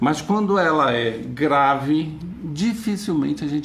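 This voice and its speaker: A man talks with lively intonation, and audible room echo can be heard around him. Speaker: psychologist giving a talk. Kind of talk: lecture.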